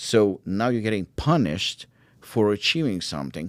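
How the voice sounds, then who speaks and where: The recording is very clean and the background silent. The voice is a man's. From Ukraine, Israel and South Africa. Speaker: supplement brand founder. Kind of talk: podcast interview. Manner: animated.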